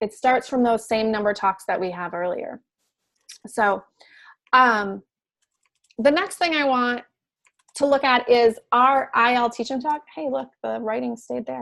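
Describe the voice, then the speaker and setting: A high-pitched woman speaks fairly slowly with ordinary pitch variation. She leaves long, frequent pauses. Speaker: math education facilitator. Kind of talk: online discussion webinar.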